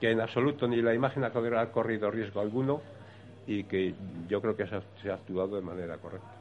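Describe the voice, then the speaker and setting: He has a plain, everyday voice, fairly low in pitch. His intonation is fairly even and his pace moderate. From Spain, Valladolid. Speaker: brotherhood member. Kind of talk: radio talk show panel. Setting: café venue with live audience.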